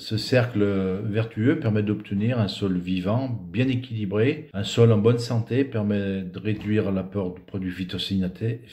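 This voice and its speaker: At a fairly slow pace, a man with a fairly low pitch and a dark, mellow tone sounds somewhat breathy, his pitch varying in an ordinary way. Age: 60s. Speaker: dairy farmer. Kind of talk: prepared presentation. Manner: hesitant, with fillers.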